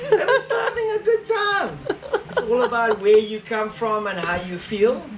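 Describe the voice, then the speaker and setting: At a moderate pace, the speech is heard against noticeable background noise. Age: 60s. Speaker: sailor. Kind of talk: casual chat. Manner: animated.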